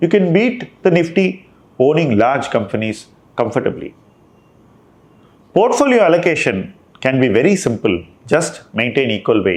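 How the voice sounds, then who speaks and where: A man with an Indian accent and a fairly high pitch speaks at a moderate pace with vocal fry, very even loudness, very wide pitch swings and long, frequent pauses. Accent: Indian English (Tamil). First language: Tamil. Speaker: investment manager. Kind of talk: monthly portfolio review talk.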